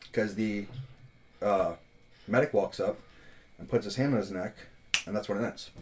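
Long, frequent pauses break up a man's speech at a moderate pace. His pitch is fairly low and varies in an ordinary way. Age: 20s. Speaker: podcast co-host. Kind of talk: casual chat.

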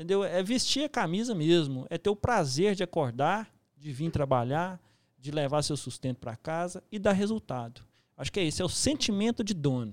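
On a very clean recording with a silent background and a dry, close sound with no echo, a man speaks at a moderate pace in a high pitch with very wide pitch swings. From Minas Gerais, Brazil. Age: 30s. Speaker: construction site manager. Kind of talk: casual interview.

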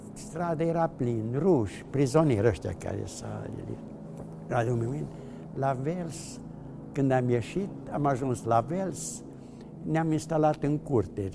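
A man's medium-pitched voice at a very slow pace, with long, frequent pauses and noticeable background noise. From Transylvania, Romania (Mureș county). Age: 80s+. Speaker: Holocaust survivor. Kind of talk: testimony. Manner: halting.

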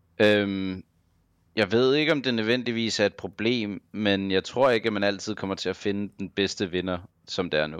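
Against a quiet background, a man with an unremarkable speaking voice talks fairly slowly at a fairly low pitch with ordinary pitch variation. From Denmark, Copenhagen. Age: 30s. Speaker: professional esports player. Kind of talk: casual interview. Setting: online call.

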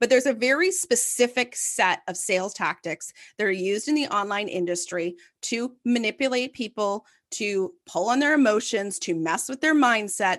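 An animated woman with a Canadian accent, lively intonation and a moderate pace. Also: quiet background. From Canada, Ottawa. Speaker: content marketing agency founder. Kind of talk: interview.

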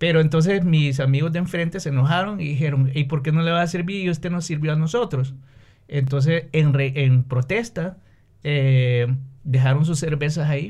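A man with an ordinary speaking voice, fairly high-pitched, at a moderate pace. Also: ordinary pitch variation. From Honduras, San Pedro Sula. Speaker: businessman and musician. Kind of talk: casual interview.

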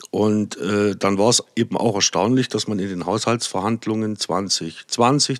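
The speech moves at a very slow pace. The sound is dry and close with no echo, in a very clean recording with a silent background. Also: man. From Saxony, Erzgebirge. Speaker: politician. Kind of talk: podcast interview.

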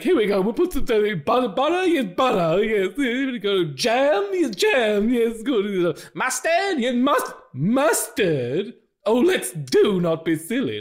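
A man in a put-on character voice, high-pitched and very slow. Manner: manic, wacky.

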